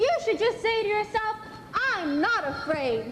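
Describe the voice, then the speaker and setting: Squeaky put-on character voice at an extremely high pitch, moderate pace, clear echo and clear background noise. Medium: stage play. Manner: cheerful, brisk.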